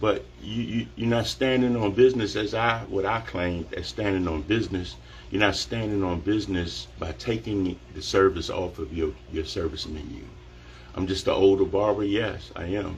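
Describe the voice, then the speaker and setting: A man with a fairly low pitch and vocal fry talks at a moderate pace with lively intonation. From Washington DC area. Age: 50s. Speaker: barber. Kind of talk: live social media monologue. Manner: animated.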